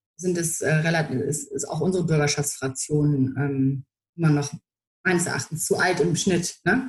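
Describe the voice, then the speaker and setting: A woman with a fairly low pitch and a normal speaking voice talks at a moderate pace with ordinary pitch variation. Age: 30s. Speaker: political press spokesperson. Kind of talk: interview.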